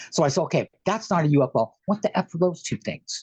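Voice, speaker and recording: With an American accent, a man speaks at a moderate pace with lively intonation and an animated tone, the sound dry and close with no echo. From San Francisco Bay Area, California. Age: 60s. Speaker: guest sharing alien contact experiences. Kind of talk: casual interview storytelling. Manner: talkative, animated.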